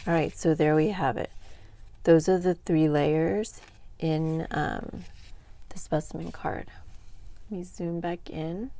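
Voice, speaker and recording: Very slowly and with long, frequent pauses, a woman speaks at a fairly low pitch with a dark, mellow tone and ordinary pitch variation. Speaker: craft tutorial creator. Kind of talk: tutorial. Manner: casual, with filler words.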